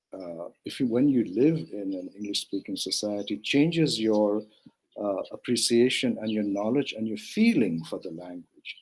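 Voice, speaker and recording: In a Manipur accent, a man speaks at a moderate pace with fairly low pitch, ordinary pitch variation and big swings in loudness. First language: Manipuri. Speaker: translator and film curator. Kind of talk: interview. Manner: halting, many fillers.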